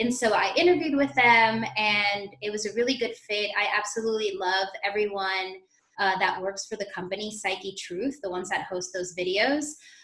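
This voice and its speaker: A woman talks in an unremarkable speaking voice at medium pitch. She keeps a moderate pace and ordinary pitch variation. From Queens, New York and Puerto Rico. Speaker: fitness instructor. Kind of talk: interview.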